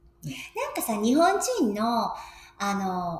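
Her pitch swings very widely. This woman is heard with audible room echo and noticeable background noise. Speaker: podcast co-host. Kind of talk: casual chat.

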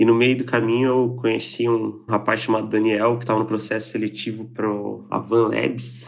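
With monotone, flat intonation, a man holds a medium pitch and a moderate pace. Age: 20s. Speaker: software engineer. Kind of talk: recorded personal story.

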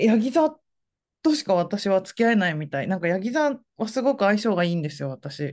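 A woman speaks at a medium pitch with very wide swings up and down. The background is quiet. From Fukuoka, Japan. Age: 40s. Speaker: essayist. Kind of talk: casual interview.

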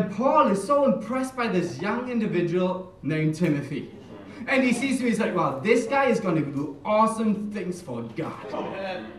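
Speaking at a moderate pace with a German accent, a man uses a high pitch and lively intonation amid noticeable background noise. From Germany. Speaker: church minister. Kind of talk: sermon.

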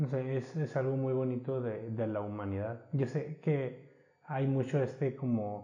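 Using an ordinary speaking voice, a man talks fairly slowly at a medium pitch with fairly even intonation. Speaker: podcast host. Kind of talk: casual chat.

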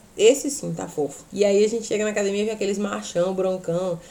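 The woman's dark, mellow voice sits at medium pitch with ordinary pitch variation. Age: 30s. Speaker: podcast host and teacher. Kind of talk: casual chat. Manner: not loud, no shouting.

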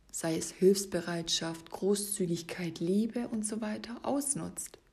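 Very slow speech from a woman at medium pitch, with lively intonation. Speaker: fitness and life coach podcast host. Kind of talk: solo podcast monologue. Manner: stumbling over words.

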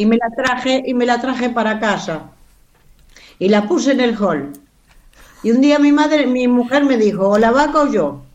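A woman talks at a moderate pace in a high voice, with lively intonation and very even loudness. Long, frequent pauses and audible room echo mark the clip. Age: 70s. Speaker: actress. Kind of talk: casual interview.

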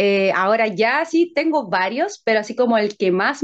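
A woman speaks in a plain, everyday voice at a fairly high pitch. Her pace is fairly slow, with lively intonation. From Chile, San Bernardo (southern Santiago). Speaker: singer-songwriter. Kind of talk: casual interview chat.

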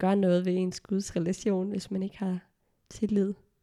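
Medium-pitched female voice, dark and mellow in tone, with a dry, close sound and no echo. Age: 20s. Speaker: theology graduate sharing anxiety experience. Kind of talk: personal testimony in casual interview. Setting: around a dining table, recorded at home.

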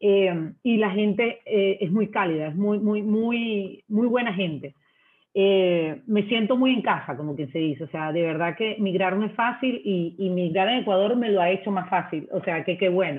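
The woman has a plain, everyday voice at a medium pitch, with ordinary pitch variation and a fairly slow pace. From Venezuela. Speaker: marketing manager. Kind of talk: interview.

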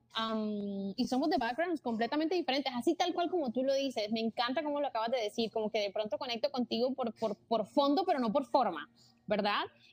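With music in the background, a woman talks at a very fast pace and a high pitch with ordinary pitch variation, and the sound is dry and close with no echo. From Colombia, Barranquilla (Caribbean coast). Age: 20s. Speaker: content creator and entrepreneur. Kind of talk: casual interview chat.

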